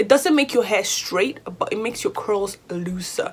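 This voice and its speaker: Over noticeable background noise, a woman with a British accent speaks at a moderate pace in an animated tone with very wide pitch swings. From Nigeria. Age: 20s. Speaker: hair vlogger, university student. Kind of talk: casual vlog talk to camera.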